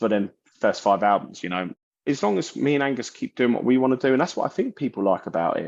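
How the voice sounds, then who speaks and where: With a South London accent, a man talks at a very fast pace with lively intonation in a dry, close sound with no echo. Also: medium pitch for a man. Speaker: metal vocalist and bassist. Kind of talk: interview. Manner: animated.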